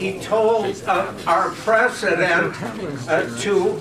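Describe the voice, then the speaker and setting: A man's raised, projected voice, high in pitch and very slow, with audible room echo and noticeable background noise. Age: 80s+. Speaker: audience member at discussion club. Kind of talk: open-floor comment at a public meeting. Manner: halting, with many fillers.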